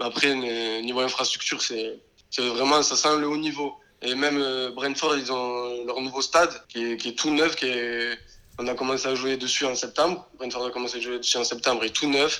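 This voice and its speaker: A man with a medium pitch and a bright, sharp tone speaks at a moderate pace in a monotone, flat intonation. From southern France, Béziers. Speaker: professional footballer. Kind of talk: interview.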